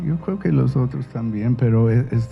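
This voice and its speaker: A man talks with an American accent. Music plays in the background. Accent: American accent in Spanish, noticeable. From United States. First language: English (speaking Spanish). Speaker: novelist. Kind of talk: interview. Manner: halting, many repetitions.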